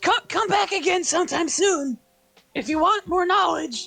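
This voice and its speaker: Faint music plays as a man does a put-on character voice. His voice is raspy and extremely high in pitch. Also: moderate pace. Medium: actual play. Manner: chirpy, brisk.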